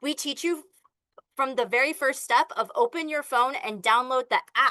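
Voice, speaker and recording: A woman's high, bright, sharp voice is raised and projected, with ordinary pitch variation. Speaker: online business coach. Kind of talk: sales pitch. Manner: fast; animated.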